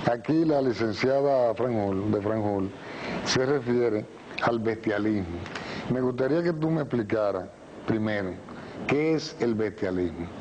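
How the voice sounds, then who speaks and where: Over noticeable background noise, a man at medium pitch talks at a fairly slow pace with ordinary pitch variation and long, frequent pauses. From Dominican Republic, La Romana. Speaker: talk show host. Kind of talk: interview. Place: studio. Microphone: lapel.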